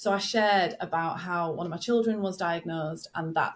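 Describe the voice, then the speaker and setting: A woman's somewhat breathy, fairly low-pitched voice with ordinary pitch variation. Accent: northern English. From northern England. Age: 40s. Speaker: business growth coach. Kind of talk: podcast interview. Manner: relaxed, conversational.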